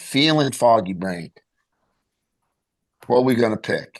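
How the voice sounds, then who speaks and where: An unremarkable speaking voice from a man at medium pitch, with lively intonation and a quiet background. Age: 60s. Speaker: clinical pharmacist and nutritionist. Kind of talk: interview.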